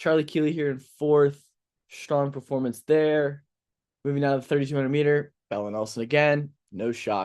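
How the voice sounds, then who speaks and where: Against a quiet background, a man mumbles in an American accent. He keeps a moderate pace and ordinary pitch variation. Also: fairly high pitch for a man. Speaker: sports podcast host. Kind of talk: casual sports commentary. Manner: mumbling.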